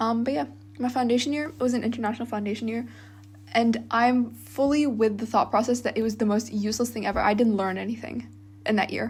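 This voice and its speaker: Very fast, somewhat breathy speech from a woman, fairly high in pitch and fairly even in intonation. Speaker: university student, vlogger. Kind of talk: casual monologue vlog. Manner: casual, many fillers.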